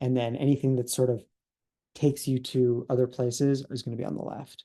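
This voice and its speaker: A man's dark, mellow voice at medium pitch with ordinary pitch variation. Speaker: software developer. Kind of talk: software demo tutorial. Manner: fast; halting, many fillers.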